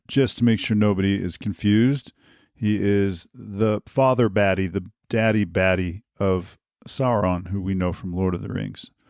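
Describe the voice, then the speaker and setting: In a very clean recording with a silent background and a dry, close sound with no echo, a man speaks at a moderate pace in a fairly low pitch. His intonation is fairly even, a plain, everyday voice. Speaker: podcast host. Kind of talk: podcast monologue.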